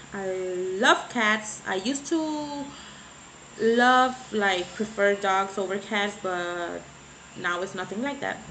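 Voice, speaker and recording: A woman speaks at a very slow pace. Audible room echo and noticeable background noise are present. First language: Spanish. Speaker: beauty vlogger. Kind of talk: casual vlog chat. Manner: halting, searching for words.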